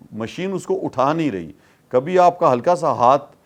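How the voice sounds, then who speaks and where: Lively intonation marks a man's voice heard over noticeable background noise. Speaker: politician. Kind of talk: interview answer.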